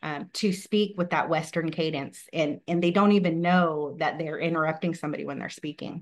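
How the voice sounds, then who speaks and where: At a moderate pace and a fairly low pitch, a woman talks in a normal speaking voice with fairly even intonation and hardly any pauses. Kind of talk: webinar presentation.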